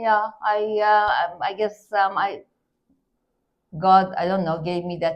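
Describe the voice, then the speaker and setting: A woman with a non-native accent speaks at a medium pitch in a monotone, flat way. She goes very slowly, with long, frequent pauses. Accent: foreign. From Iran. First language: not English. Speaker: real estate investor. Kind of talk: interview. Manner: halting, hesitant.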